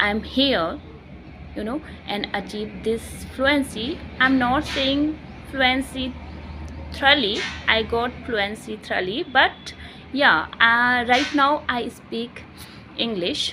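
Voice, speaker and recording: Speaking very slowly with long, frequent pauses, a woman with an Indian accent uses a high-pitched voice. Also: ordinary pitch variation. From India, Uttarakhand. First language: Hindi. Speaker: English learner vlogger. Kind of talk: personal vlog monologue. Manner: halting, self-correcting.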